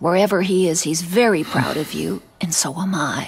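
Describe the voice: A woman puts on a character voice pitched fairly low, with ordinary pitch variation, a moderate pace, vocal fry and a husky, rough edge.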